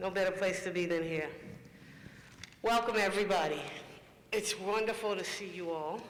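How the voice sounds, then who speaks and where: At a moderate pace and with fairly even intonation, a man with a high pitch speaks amid noticeable background noise and audible room echo. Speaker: panel moderator. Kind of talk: panel discussion moderation.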